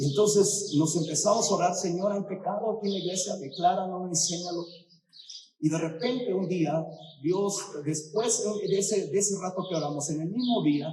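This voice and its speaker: A man speaks at a moderate pace in a high pitch. His voice has ordinary pitch variation, with audible room echo. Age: 60s. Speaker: pastor. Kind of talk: sermon. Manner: animated.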